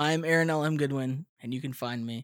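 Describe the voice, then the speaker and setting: This man has a normal speaking voice, talking at a moderate pace with ordinary pitch variation. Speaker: podcast host. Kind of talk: casual banter among friends. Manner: joking, playful.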